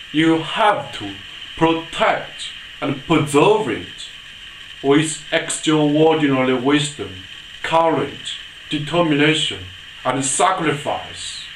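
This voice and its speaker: Noticeable background noise accompanies speech that unfolds very slowly. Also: man. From China. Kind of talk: political address to camera.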